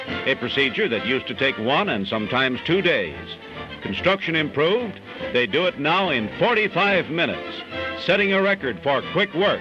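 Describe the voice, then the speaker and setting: A man speaks at a moderate pace with a fairly high pitch and very wide pitch swings. Music plays in the background. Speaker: newsreel narrator. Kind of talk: 1940s newsreel narration.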